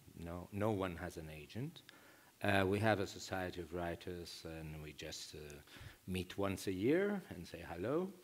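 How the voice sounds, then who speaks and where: A man with a Greek accent, very deep and low in pitch, fairly slow, with ordinary pitch variation, big swings in loudness and audible room echo. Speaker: novelist. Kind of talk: panel discussion. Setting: stage with audience. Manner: halting.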